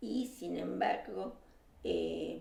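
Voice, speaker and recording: A woman speaks with a Rioplatense accent, and audible room echo surrounds her voice. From Uruguay and Argentina. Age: 70s. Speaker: exile, former left-wing activist. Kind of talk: casual conversation. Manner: hesitant, many filler sounds.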